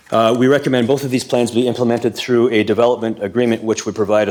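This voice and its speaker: Noticeable background noise sits behind this recording. A man talks at a very fast pace with a medium pitch. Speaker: delegate for short-term rental hosts association. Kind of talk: council delegation presentation.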